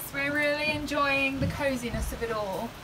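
Someone speaks at a moderate pace with noticeable background noise. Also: woman. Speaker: sailing vlogger. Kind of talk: casual vlog chat. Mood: cozy, relaxed, content. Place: boat. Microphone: phone near.

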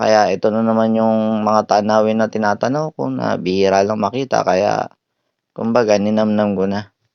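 Speaking at a moderate pace, a man has a plain, everyday voice, fairly low in pitch, with ordinary pitch variation. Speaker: travel vlogger. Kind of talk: vlog narration. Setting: on public transport.

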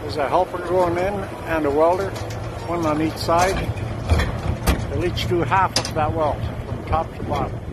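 Loud background noise surrounds a man who speaks with long, frequent pauses in a dry sound with no echo. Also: ordinary pitch variation, moderate pace. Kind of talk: casual commentary. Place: open country. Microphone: phone near.

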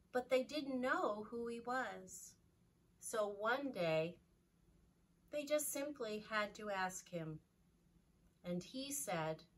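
The speech comes at a very slow pace. Long pauses break it up often. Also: woman. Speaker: children's Sunday school storyteller. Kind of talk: slow, calm storytelling to children. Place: classroom. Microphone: camera far.

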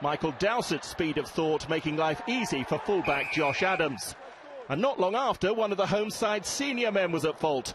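Lively intonation marks a man's high voice. He speaks at a moderate pace against noticeable background noise. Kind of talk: sports commentary voiceover. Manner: brisk, polished, authoritative; measured, formal, narrating highlights.

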